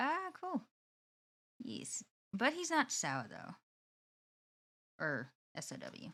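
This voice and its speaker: Her loudness rises and falls by big amounts. This woman talks very slowly, leaving long pauses often. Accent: non-native. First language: not English. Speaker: streamer. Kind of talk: casual chat. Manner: halting.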